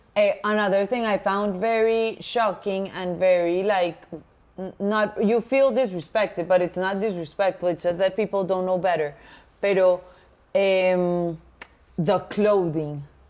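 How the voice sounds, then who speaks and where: In a Latin American accent, a woman speaks at a fairly slow pace with fairly even intonation. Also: medium pitch for a woman. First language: Spanish. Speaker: podcast co-host. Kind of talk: casual chat.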